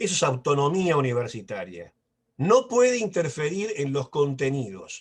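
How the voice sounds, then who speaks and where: The speech is fairly slow and somewhat breathy, in a Rioplatense accent. Its pitch swings are very wide. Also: man, fairly high pitch for a man. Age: 60s. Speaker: professor. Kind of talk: lecture. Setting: video call.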